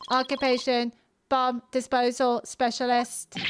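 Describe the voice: In a put-on character voice, a woman sounds robotic, speaking at a fairly slow pace with high pitch and monotone, flat intonation.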